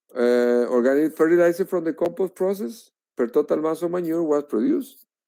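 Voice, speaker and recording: Speaking at a fairly quick pace with a Spanish accent, a man uses lively intonation and a fairly high pitch in a dark, mellow tone. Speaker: researcher. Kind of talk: lecture. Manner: halting.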